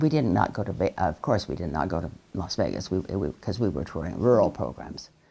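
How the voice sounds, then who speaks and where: With an American accent, a woman speaks with vocal fry and very wide pitch swings in a very clean recording with a silent background. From southwestern Colorado, US. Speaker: social worker and women's rights activist. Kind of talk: oral history interview. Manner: halting, many fillers.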